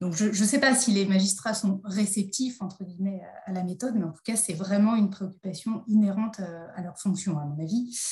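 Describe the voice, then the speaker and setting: A dark, mellow, somewhat breathy voice moves at a moderate pace with ordinary pitch variation. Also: woman. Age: 40s. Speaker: judge and magistrate trainer. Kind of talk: interview. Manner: hesitant, many fillers.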